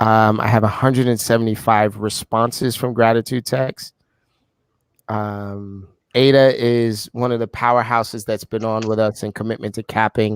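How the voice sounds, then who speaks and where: A man with a New York accent speaks at medium pitch and a moderate pace, his intonation monotone and flat, with a dry, close sound and no echo. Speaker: leader of a real estate accountability group call.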